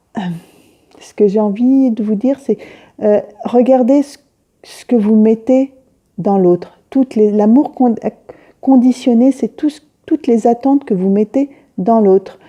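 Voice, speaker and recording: The speech moves at a fairly slow pace in a dark, mellow tone, with ordinary pitch variation, long, frequent pauses and big swings in loudness, recorded with a dry, close sound and no echo. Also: woman, fairly high pitch for a woman. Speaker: spiritual medium / intuitive consultant. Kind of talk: reflective monologue to camera. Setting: self-recorded on phone. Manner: slow, searching for words; hesitant, many fillers.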